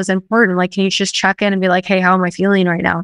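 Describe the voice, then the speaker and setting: At a very fast pace, a woman speaks in an animated tone, the sound dry and close with no echo. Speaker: podcast host. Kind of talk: casual interview chat. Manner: fast talker, animated.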